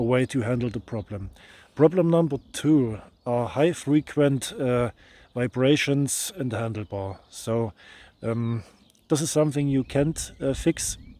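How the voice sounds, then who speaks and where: Speaking at a fairly slow pace, a man has a medium pitch, a dark, mellow tone, and ordinary pitch variation. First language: not English. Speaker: motorcycle vlogger. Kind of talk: product review. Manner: halting.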